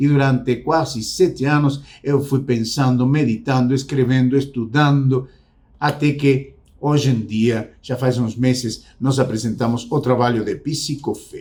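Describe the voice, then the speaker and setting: A man's fairly slow, somewhat breathy, monotone speech at a medium pitch. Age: 60s. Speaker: psychologist and faith-based self-help speaker. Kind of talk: motivational talk to camera. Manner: reflective, repetitive emphasis.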